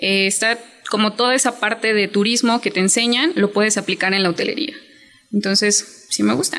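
With a normal speaking voice, a woman talks at a moderate pace, her pitch fairly high, her loudness very even and her pitch variation ordinary. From Chiapas, Mexico. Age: 20s. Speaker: hotel worker and small business owner. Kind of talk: interview.

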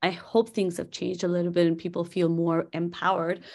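A woman with a Nepali accent talks at a fairly quick pace. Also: very clean recording, silent background. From Nepal, Kathmandu. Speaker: corporate chief of staff. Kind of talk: interview conversation.

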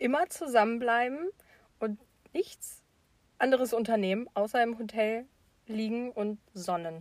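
A woman talks at a fairly slow pace. Her fairly high pitch carries ordinary pitch variation. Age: 20s. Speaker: podcast co-host. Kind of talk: casual chat.

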